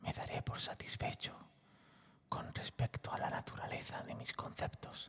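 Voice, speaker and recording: A man is whispering. He goes at a very slow pace. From Spain. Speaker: voice actor and narrator. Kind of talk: ASMR whispered story narration. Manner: intimate, whispered, soft.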